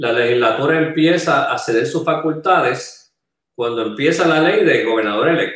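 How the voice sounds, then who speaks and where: This man has an ordinary speaking voice, set fairly high, moving at a moderate pace with ordinary pitch variation. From Puerto Rico, San Juan metro area. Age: 60s. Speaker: political candidate, former finance secretary. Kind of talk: panel interview.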